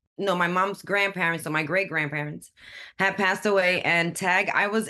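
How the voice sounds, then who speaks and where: A woman with a New York accent, medium pitch and a bright, sharp tone, over a quiet background. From Brooklyn, New York. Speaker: community college student. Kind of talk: podcast interview. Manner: animated.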